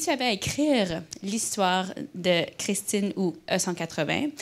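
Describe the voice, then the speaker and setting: A woman talks with an English accent. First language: English (speaking French). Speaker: company culture director, interviewer. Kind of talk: onstage interview. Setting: stage with live audience. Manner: halting, many hesitations.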